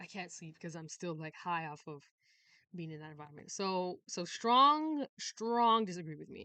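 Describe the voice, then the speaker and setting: A woman with a fairly low pitch talks at a moderate pace in an animated tone, with lively intonation and big swings in loudness. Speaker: YouTuber. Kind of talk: casual chat.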